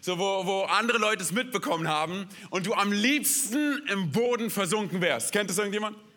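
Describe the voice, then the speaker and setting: In a room with audible echo, a man projects a raised, high-pitched voice with an animated, energetic tone and lively intonation. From Berlin, Germany. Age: 30s. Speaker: guest pastor. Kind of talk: sermon.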